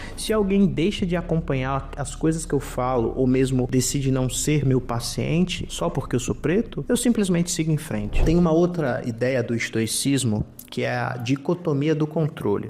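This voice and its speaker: Speaking at a moderate pace with hardly any pauses, a man uses lively intonation and a fairly high pitch. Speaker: psychologist and YouTuber. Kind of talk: personal talk to camera. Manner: reflective, conversational.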